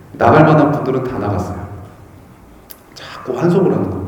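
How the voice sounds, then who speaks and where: A man with medium pitch is speaking. Noticeable background noise and audible room echo are present. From Chungcheong Province, Korea. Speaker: Buddhist monk. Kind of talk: dharma talk. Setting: temple hall with audience. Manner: conversational, asks audience questions.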